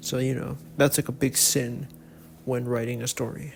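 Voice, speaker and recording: Somewhat breathy, a man's medium-pitched voice moves at a moderate pace with ordinary pitch variation. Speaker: webcomic artist and YouTuber. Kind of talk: casual vlog talk to camera. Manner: halting, with many repeats and fillers.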